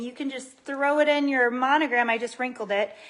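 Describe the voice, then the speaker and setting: With a high pitch and ordinary pitch variation, a woman talks at a moderate pace. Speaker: lifestyle video host. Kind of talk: tutorial. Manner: animated.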